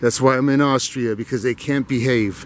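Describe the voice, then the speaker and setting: Recorded dry with no echo over light background noise, a man talks at a moderate pace. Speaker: walking vlogger. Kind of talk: casual vlog chat. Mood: opinionated, ranting. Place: garden. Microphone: phone near.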